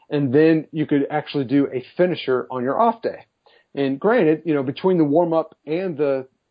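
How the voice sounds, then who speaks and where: A man with an ordinary speaking voice, fairly high pitch, ordinary pitch variation and a moderate pace. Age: 40s. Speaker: fitness trainer. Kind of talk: interview. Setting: phone call.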